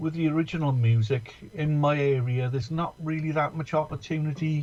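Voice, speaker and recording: A man with an English accent speaks at a fairly slow pace in a somewhat breathy voice. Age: 60s. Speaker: musician. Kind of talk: casual chat. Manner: halting.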